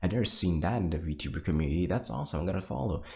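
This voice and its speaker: A man whispers quietly. His voice is somewhat breathy. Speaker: VTuber streamer. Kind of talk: casual monologue to viewers. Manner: whispering; quiet, low energy.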